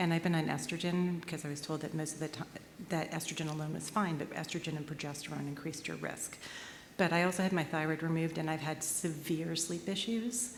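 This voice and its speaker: A woman at a very deep, low pitch and a very fast pace, with fairly even intonation and audible room echo. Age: 50s. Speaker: audience member asking a question. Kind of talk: audience question.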